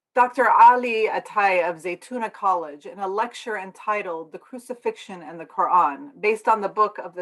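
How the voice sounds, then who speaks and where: A woman talks in a normal speaking voice at a medium pitch with ordinary pitch variation. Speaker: minister and denominational staff member giving a sermon. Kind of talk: sermon / religious talk.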